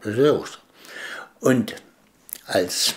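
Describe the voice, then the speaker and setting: Speaking at a very slow pace is a man. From Dresden, Saxony; Saxony, Germany. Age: 70s. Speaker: eyewitness interviewee; witness. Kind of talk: interview testimony. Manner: halting, many fillers. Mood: calm, reflective recollection. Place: home room.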